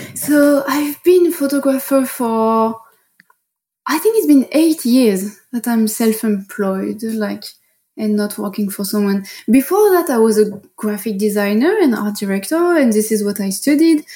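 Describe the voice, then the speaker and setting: With a French accent, a woman speaks at a fairly high pitch and a fairly slow pace, her tone dark, mellow and somewhat breathy and her intonation lively. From France, Paris. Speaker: fine art photographer. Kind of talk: interview.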